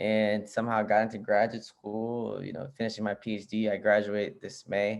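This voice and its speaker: A man at a fairly low pitch with a Spanish accent, moderate pace, quiet background. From US, Arlington, Virginia, Nicaraguan family. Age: 30s. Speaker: PhD candidate and social justice show host. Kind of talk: casual interview chat. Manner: casual, many fillers.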